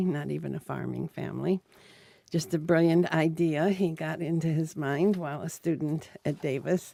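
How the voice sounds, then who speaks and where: A woman speaks with a very deep, low pitch in an American accent. Her pace is moderate. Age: 80s+. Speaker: retired dairy farmer. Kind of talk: oral history interview. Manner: halting, many fillers.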